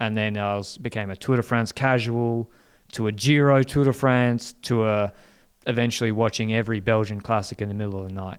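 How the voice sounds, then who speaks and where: Spoken at a fairly quick pace with fairly even intonation, this is a very clean recording against a silent background. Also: man, medium pitch for a man. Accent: Australian. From Australia. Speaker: cycling podcast host and team strategist. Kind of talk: podcast interview. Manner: halting, with repetitions.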